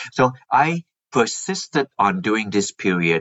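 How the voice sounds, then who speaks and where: A man with a normal speaking voice talks in a fairly low pitch with lively intonation. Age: 60s. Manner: explanatory, says 'like that' often.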